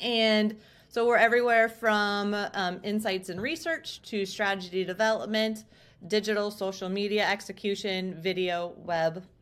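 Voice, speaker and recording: The voice is an unremarkable speaking voice. Its pitch varies in an ordinary way. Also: woman. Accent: American. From South Dakota / southwest Minnesota. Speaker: marketing agency executive. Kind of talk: interview answers.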